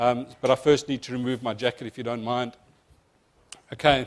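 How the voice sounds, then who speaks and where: Here is a man with a South African accent. His pitch sits in the medium range. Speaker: insurance company presenter. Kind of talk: seminar presentation. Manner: fast.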